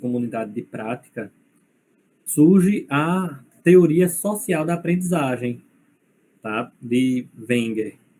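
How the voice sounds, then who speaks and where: With a dark, mellow tone, a man speaks at a very slow pace in a fairly high pitch with lively intonation. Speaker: university lecturer. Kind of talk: lecture.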